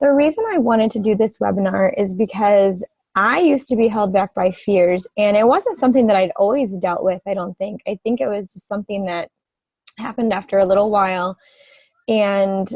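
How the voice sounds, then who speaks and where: A woman talks at a fairly quick pace in a somewhat breathy voice. Her pitch sits in the medium range, with ordinary variation. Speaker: direct sales presenter. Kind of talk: webinar presentation. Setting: online webinar with screen sharing.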